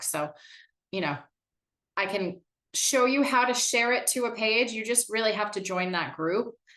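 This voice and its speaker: Here a woman talks at a moderate pace. Her tone is bright and sharp. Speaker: marketing director leading a workshop. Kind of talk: online workshop presentation.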